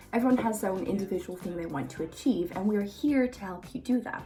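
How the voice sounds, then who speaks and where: At a very fast pace, a woman speaks at medium pitch over noticeable background noise. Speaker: fitness coach. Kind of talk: tutorial.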